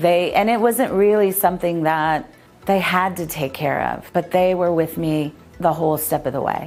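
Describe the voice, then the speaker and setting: With a Californian accent, the speaker talks at a moderate pace and with ordinary pitch variation as music plays in the background. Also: woman. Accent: Californian American English. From San Pedro, California. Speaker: rental property owner. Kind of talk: customer testimonial.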